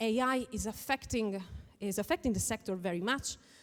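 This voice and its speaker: With an Italian accent, a woman speaks at medium pitch and a moderate pace with lively intonation. The recording is very clean, with a silent background. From northern Italy (Veneto). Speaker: lawyer and conference speaker. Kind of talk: conference talk.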